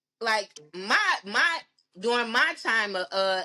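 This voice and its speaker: A woman speaks loudly and at a very slow pace. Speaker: podcast guest. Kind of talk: casual chat.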